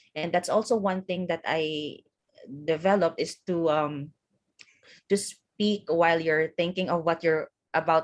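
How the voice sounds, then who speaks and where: A woman with a Visayan Filipino accent, fairly low pitch, fairly even intonation and a fairly slow pace. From Philippines, Visayas (Hiligaynon-speaking island). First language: Hiligaynon. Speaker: office worker and event host. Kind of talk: casual conversation interview. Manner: hesitant, many fillers.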